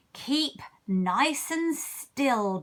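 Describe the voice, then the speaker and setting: A woman uses a put-on character voice pitched high. Her pitch swings very widely. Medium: read story. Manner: buzzing.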